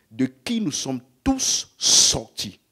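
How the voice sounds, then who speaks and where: His pitch swings very widely as this man talks. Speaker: preacher. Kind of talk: sermon. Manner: slow.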